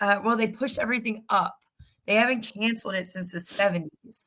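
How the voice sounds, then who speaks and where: A woman's bright, sharp voice with ordinary pitch variation. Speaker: podcast co-host. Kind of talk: casual chat.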